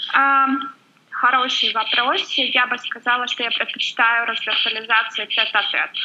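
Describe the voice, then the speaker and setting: Behind the speaker there is noticeable background noise. She is a woman talking fairly slowly. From Volga region, Russia. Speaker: blogger. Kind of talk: podcast interview.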